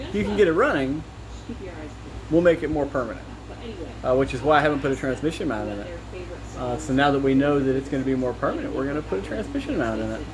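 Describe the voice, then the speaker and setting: With noticeable background noise and audible room echo, a man talks at a very fast pace broken by long, frequent pauses. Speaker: car mechanic and video maker. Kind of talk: casual workshop talk to camera. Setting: home workshop. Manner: hesitant, many fillers.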